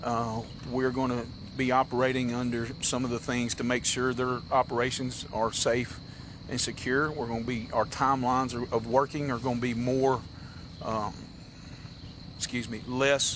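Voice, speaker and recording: A man in a Tennessee accent speaks at a moderate pace and medium pitch. His intonation is monotone and flat, with long, frequent pauses. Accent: US Southern (Tennessee). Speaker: county sheriff. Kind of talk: press briefing. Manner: halting.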